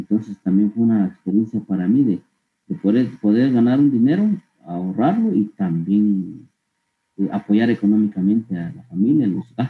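A man with a fairly low pitch and ordinary pitch variation keeps a moderate pace. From Guatemala, Huehuetenango (San Pedro Soloma). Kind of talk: interview testimony. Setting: online call. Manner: halting, with frequent repetitions and fillers.

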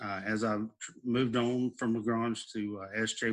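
Against a quiet background, a man with an American accent speaks at a fairly low pitch in a monotone, flat intonation. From Southeast Texas. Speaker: school principal and athletic trainer. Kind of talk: interview.

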